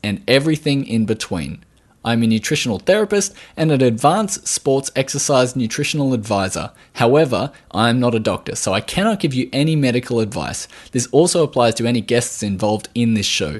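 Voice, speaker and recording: An Australian-accented man at medium pitch, fairly quick in pace and lively in intonation, against a quiet background. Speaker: podcast host, nutritional therapist. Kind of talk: podcast interview.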